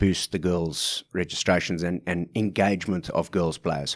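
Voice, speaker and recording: A man with a South African accent, very deep and low in pitch, fairly even in intonation, on a very clean recording with a silent background and a dry, close sound with no echo. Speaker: junior cricket coordinator. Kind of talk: interview.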